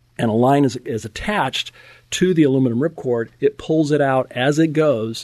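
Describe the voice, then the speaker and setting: An unremarkable speaking voice from a man with an American accent, a fairly high pitch and ordinary pitch variation. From US West, Napa, California. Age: 60s. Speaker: fitness coach and former pro football player. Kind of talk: casual interview.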